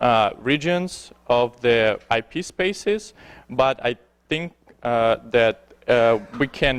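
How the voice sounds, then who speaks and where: With a Belarusian accent, a man speaks very slowly at a medium pitch with ordinary pitch variation, the sound dry and close with no echo. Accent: foreign accent, Belarusian. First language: Belarusian or Russian. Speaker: security researcher, conference speaker. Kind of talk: conference talk. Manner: halting, many fillers.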